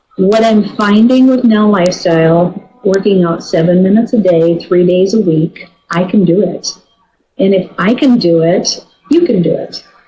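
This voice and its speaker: Music plays in the background as a woman speaks at a moderate pace in a medium pitch with ordinary pitch variation. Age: 60s. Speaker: network marketing team member. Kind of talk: testimony. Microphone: poor sound quality.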